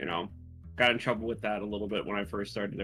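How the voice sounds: Music plays in the background as a man with a fairly low pitch speaks at a very fast pace with fairly even intonation.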